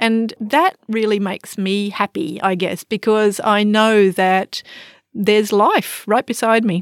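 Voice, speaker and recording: At a fairly slow pace, a woman with an Australian accent speaks in a dry, close sound with no echo, in a very clean recording with a silent background. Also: fairly high pitch for a woman, fairly even intonation. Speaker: psychology lecturer and forest therapy guide. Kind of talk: expert interview.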